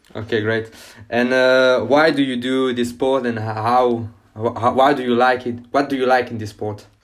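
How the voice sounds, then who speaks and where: A man speaks at medium pitch and a moderate pace with a French accent. His intonation is monotone and flat. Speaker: podcast host. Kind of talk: interview. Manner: halting.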